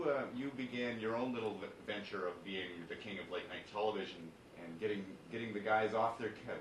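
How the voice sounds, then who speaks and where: A man speaks at a moderate pace as noticeable background noise runs underneath. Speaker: radio show host. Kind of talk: radio interview host.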